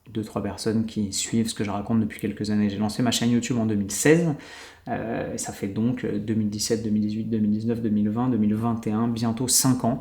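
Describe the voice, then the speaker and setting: In a fairly low pitch, a man talks at a very fast pace with monotone, flat intonation and audible room echo. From France. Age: 30s. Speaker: YouTuber and podcaster. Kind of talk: solo podcast monologue. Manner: casual, filler-heavy.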